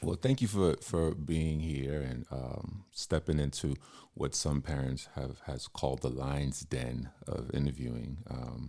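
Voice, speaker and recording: A calm man's voice, very deep and low, with a dark, mellow tone, ordinary pitch variation and a fairly slow pace. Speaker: podcast host. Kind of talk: casual interview. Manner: calm, smooth.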